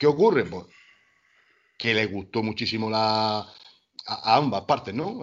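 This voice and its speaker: A man speaks against a quiet background. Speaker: rock band singer. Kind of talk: casual interview. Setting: Skype call. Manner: halting.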